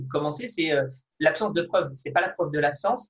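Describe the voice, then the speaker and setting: A man speaks in a somewhat breathy voice. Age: 20s. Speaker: fitness video creator and kendo athlete. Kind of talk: interview. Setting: video call.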